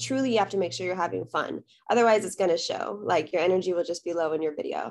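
With music in the background, a woman with an American accent races along at a very fast pace with hardly any pauses, at medium pitch with lively intonation. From South Texas. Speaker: dancer and content creator. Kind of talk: casual interview.

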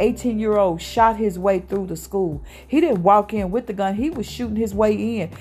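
A woman speaks at a medium pitch with a dark, mellow tone and ordinary pitch variation. Her voice is somewhat breathy, with hardly any pauses. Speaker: radio host and ministry leader. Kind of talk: sermon-like preaching and prayer. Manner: fervent, urgent, exhorting.

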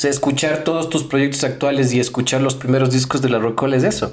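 Medium pitch from a man, along with audible room echo. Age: 30s. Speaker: podcast host. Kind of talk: casual chat. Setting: guest's home. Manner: halting.

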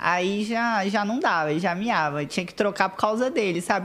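Lively intonation amid noticeable background noise. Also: woman. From Espírito Santo, Brazil (Vila Velha). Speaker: model and digital influencer. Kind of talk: casual chat.

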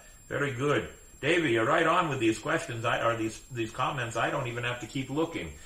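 A man's medium-pitched voice at a fairly quick pace, with ordinary pitch variation, over noticeable background noise. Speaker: pirate-themed podcast host. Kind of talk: casual chat. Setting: studio. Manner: animated.

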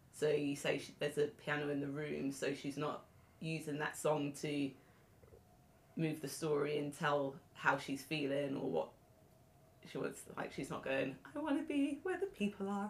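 A woman's very deep, low pitch in a British accent, with fairly even intonation at a moderate pace. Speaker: podcast co-host. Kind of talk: interview conversation.

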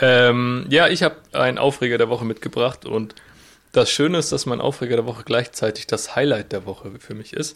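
Using a plain, everyday voice, a man speaks at a fairly quick pace and medium pitch with ordinary pitch variation. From southwest Germany (Freiburg). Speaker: podcast co-host, student and delivery driver. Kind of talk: casual chat.

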